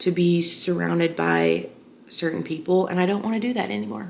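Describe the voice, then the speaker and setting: A woman speaks with fairly low pitch. Noticeable background noise is present. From Arkansas, US South. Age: 20s. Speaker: vlogger. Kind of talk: casual personal chat to camera. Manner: loud.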